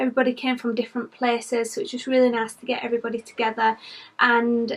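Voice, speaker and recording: Fairly high-pitched woman in a British accent, her intonation monotone and flat. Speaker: vlogger. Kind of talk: vlog update. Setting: indoors at home, nursery.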